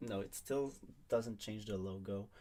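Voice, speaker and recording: A man with a strong French accent and ordinary pitch variation. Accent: thick French. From Quebec. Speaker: online league draft host. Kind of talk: livestream commentary.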